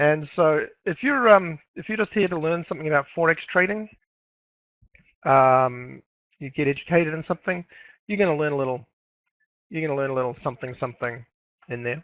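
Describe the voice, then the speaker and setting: A man with a New Zealand accent talks at a fairly quick pace and fairly high pitch, with ordinary pitch variation and long, frequent pauses. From New Zealand, Auckland. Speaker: forex trader and educator. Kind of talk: webinar presentation. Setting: live online webinar. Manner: halting, many fillers.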